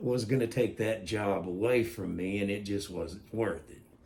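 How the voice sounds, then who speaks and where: A fairly low-pitched man speaks with ordinary pitch variation, with room echo audible. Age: 60s. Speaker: vlogger giving opinion. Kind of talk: opinion monologue. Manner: halting.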